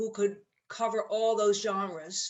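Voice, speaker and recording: Speaking with a New York accent, a woman uses a fairly high pitch. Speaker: jazz musician and bandleader. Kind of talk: interview. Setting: video call.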